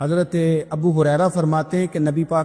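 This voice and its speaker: A man is talking. Music plays in the background. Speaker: Islamic preacher. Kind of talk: Islamic sermon storytelling.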